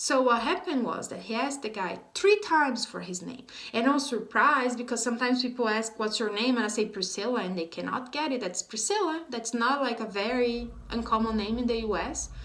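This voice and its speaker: With a Brazilian accent, a woman speaks at a fairly high pitch and a fairly quick pace, hardly pausing, her pitch varying in an ordinary way amid audible room echo. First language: Portuguese. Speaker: vlogger teaching English. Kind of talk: casual vlog talk to camera.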